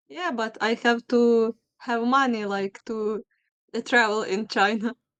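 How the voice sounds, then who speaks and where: A woman with a Ukrainian accent, fairly high in pitch, at a fairly slow pace with ordinary pitch variation, in a dry, close sound with no echo. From Ukraine, Lviv. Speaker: video chat stranger. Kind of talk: casual chat. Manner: halting.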